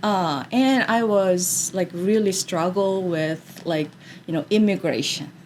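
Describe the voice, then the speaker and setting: Very slowly, a woman with a Korean accent speaks at a medium pitch with ordinary pitch variation. Noticeable background noise runs underneath. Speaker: drama therapist. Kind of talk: interview. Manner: hesitant, many fillers.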